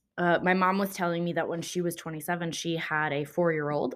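A woman with an American accent talks in a plain, everyday voice, fairly low in pitch with ordinary pitch variation. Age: 20s. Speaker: podcast host. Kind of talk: casual solo chat. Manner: chatty with frequent fillers.

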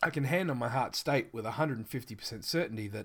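With an Australian accent and vocal fry, a man speaks with ordinary pitch variation on a very clean recording with a silent background. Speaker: tabletop RPG game manager and podcaster. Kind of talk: scripted-style podcast intro monologue. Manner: self-deprecating, casual, chatty.

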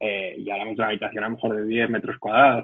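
A man with a Madrid accent talks very fast at a medium pitch, his intonation flat and monotone. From Madrid region, Spain. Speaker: tech company employee. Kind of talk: interview. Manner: hesitant with repetitions.

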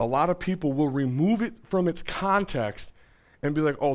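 Speaking in an ordinary speaking voice at a moderate pace, a man with a fairly high pitch uses lively intonation on a very clean recording with a silent background. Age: 30s. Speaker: pastor. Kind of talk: sermon.

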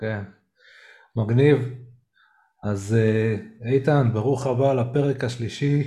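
Somewhat breathy and at medium pitch, a man speaks at a very slow pace with long, frequent pauses. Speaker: podcast host who stutters. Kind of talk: casual chat. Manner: halting.

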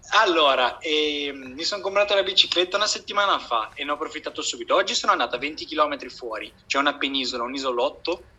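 Amid noticeable background noise, a man with a fairly high pitch rattles along at a very fast pace with hardly any pauses and lively intonation. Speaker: PhD student. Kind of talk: casual chat.

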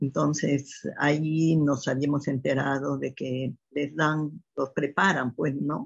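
A woman talks at a very slow pace in a very deep, low pitch. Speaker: mother of the host. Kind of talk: interview testimony.

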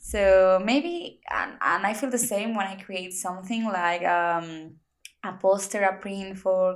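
A woman at medium pitch speaks with a Spanish accent and fairly even intonation. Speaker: podcast host. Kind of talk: casual chat; podcast intro.

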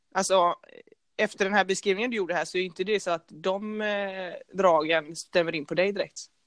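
A woman with a plain, everyday voice speaks at a medium pitch and a moderate pace, her intonation fairly even against a quiet background. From Gothenburg, Sweden (partly Norrland). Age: 20s. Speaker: podcast co-host, handball player. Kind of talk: casual chat.

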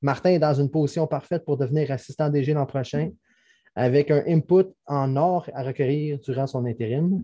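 This man's voice is fairly high, somewhat breathy, and dark and mellow in tone. He talks at a moderate pace. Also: ordinary pitch variation. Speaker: hockey podcast co-host. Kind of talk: casual chat.

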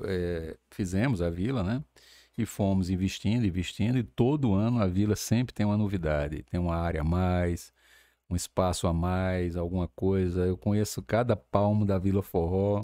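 A man speaks with a very deep, low pitch and a dark, mellow tone. His pace is moderate, his pitch varies in the ordinary way, and the recording is very clean with a silent background. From Campina Grande, Paraíba, Brazil. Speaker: events entrepreneur. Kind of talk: interview.

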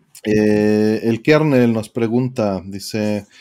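A man speaks with a dark, mellow tone. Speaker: podcast co-host. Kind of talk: casual chat.

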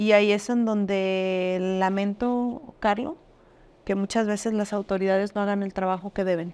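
Talking at a fairly slow pace, a woman has an ordinary speaking voice of medium pitch. Her intonation stays fairly even. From Jalisco, Mexico (Arandas). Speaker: businesswoman. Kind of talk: interview.

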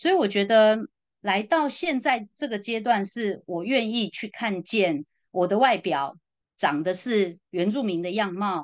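Over a quiet background, a woman speaks at a fairly slow pace. Her medium-pitched voice carries lively intonation. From Taiwan. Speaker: social worker. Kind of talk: casual interview conversation. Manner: hesitant, many fillers.

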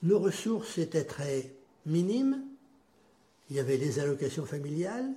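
This man sounds somewhat breathy. He speaks with lively intonation. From western France, Châteaubriant area. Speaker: grandfather telling life story, Algerian war veteran. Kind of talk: life-story interview.

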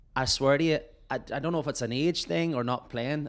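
A man speaks in a Northern Irish accent. His pitch variation is ordinary. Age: 30s. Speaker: podcast host and musician. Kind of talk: casual chat. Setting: remote call.

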